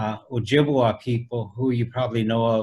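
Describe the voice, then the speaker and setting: With an American accent, a man speaks at medium pitch and a moderate pace, somewhat breathy and in a flat monotone. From US Midwest, Council Bluffs, Iowa; Lakota family. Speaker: traditional artist. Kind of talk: interview on video call. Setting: video call. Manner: conversational, many fillers.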